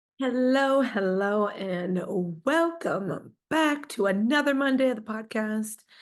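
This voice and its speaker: Lively intonation comes at a very slow pace with very even loudness. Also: woman, fairly high pitch for a woman. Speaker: podcast host. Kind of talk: solo podcast talk. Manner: casual, filler-heavy.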